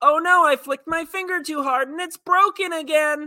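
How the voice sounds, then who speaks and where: Someone uses a put-on, high-pitched character voice at a moderate pace. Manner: heroic, exaggerated.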